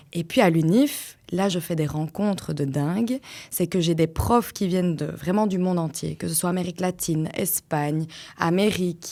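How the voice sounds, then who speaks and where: A woman with a Liège accent, a dark, mellow tone and fairly low pitch at a moderate pace, on a very clean recording with a silent background. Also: ordinary pitch variation. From Belgium, Flanders (Liège-area French). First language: Dutch (speaking French). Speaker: podcast guest, mother, former teacher. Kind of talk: personal testimony in interview. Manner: hesitant, many fillers.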